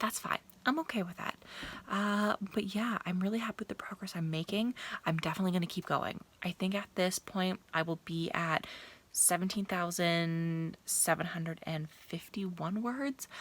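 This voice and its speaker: This woman's voice is medium in pitch and somewhat breathy, with ordinary pitch variation. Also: moderate pace. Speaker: writing vlogger. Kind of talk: vlog diary.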